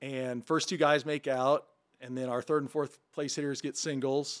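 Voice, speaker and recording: In a very clean recording with a silent background, a man with an American accent speaks at a fairly high pitch in a monotone, flat intonation. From southern Illinois, small farm town. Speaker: former baseball player and mixologist. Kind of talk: casual chat.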